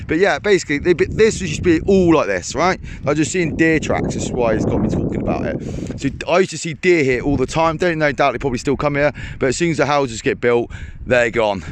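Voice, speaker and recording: A man with a fairly high pitch speaks very fast with lively intonation. There is noticeable background noise. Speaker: fishing vlogger. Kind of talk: casual vlog narration. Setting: outdoors. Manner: loud.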